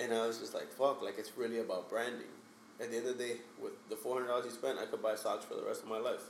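Noticeable background noise accompanies a man who talks very fast with an American accent. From Hialeah, Miami area, Florida. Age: 30s. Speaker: photographer. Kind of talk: casual chat. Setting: studio.

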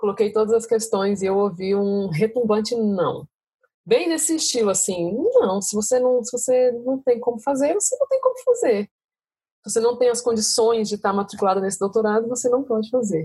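A woman's dark, mellow, somewhat breathy voice at a moderate pace. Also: fairly high pitch for a woman, ordinary pitch variation. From Brasília, Brazil. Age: 30s. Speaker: doctoral student. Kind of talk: casual chat.

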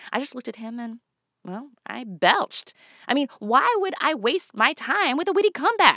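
Her bright, sharp tone rises and falls in very wide pitch swings as the woman speaks at a moderate pace, the sound dry and close with no echo. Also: very clean recording, silent background. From Toronto, Canada. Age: 30s. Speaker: comedian. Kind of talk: stand-up.

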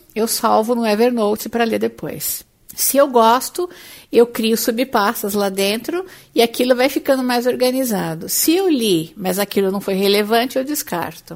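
A woman talks at a moderate pace in a plain, everyday voice. Her pitch is fairly high and her intonation lively. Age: 40s. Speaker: career coach and podcast host. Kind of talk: solo podcast monologue.

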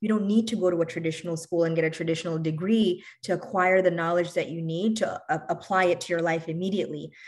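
A woman's fairly low-pitched voice in an American accent, at a very fast pace with hardly any pauses and fairly even intonation. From New York City, of Bangladeshi family. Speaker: physician and health insurance business owner. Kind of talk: interview podcast.

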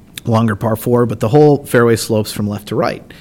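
Speaking at a fairly quick pace, a man with an American accent has an unremarkable speaking voice. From Indiana, US Midwest. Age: 30s. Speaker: golf tournament director. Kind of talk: casual interview.

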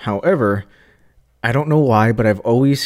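A man's plain, everyday voice of medium pitch with ordinary pitch variation, in a very clean recording with a silent background. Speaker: podcast co-host, woodworker. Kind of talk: casual chat.

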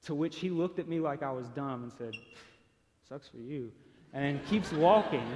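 With a Tennessee accent, a man speaks at a moderate pace in a fairly high voice, with ordinary pitch variation, big swings in loudness and long, frequent pauses. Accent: Southern US (Tennessee). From Chattanooga, Tennessee, US South. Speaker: speaker sharing personal testimony. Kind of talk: testimony.

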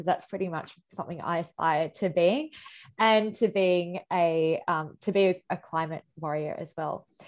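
A woman speaks fairly slowly with an Australian accent and a fairly low pitch. The background is quiet. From India. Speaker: activist and artist. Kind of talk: interview conversation. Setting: video call.

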